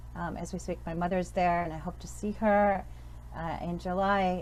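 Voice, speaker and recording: Audible room echo surrounds speech that proceeds at a moderate pace. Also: woman. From born in Pakistan, raised in Western Europe, Middle East, New York. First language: Urdu. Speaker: professor. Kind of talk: talk at speaker series. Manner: hesitant, many fillers.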